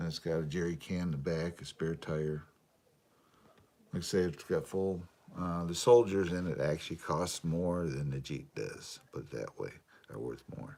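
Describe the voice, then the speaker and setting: A man talks at a moderate pace in a relaxed tone with ordinary pitch variation. His voice is very deep and low, dark and mellow. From Michigan. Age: 60s. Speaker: RC hobbyist live streamer. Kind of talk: casual live stream chat. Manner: relaxed, filler-heavy.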